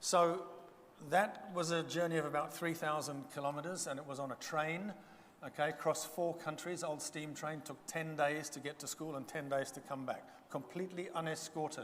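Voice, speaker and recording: A man's fairly high voice comes through noticeable background noise. His delivery keeps a moderate speed and fairly level intonation. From Zambia. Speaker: guest speaker. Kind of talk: testimony.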